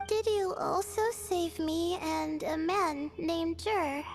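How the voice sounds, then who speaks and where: Over clear background music, a woman does a put-on character voice at an extremely high pitch, keeping her loudness very even. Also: fairly slow pace, ordinary pitch variation. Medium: video game. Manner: polite, hesitant.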